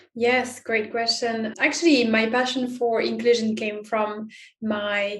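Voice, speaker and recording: In a French accent, a woman speaks at a fairly high pitch. Her intonation is monotone and flat. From France. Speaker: inclusion expert and author. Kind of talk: interview.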